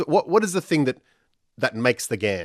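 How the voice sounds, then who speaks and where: Speaking very fast with a South Australian accent, a man swings his pitch very widely in a dry, close recording with no echo, very clean and with a silent background. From Australia, Adelaide. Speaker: radio host. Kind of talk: radio interview.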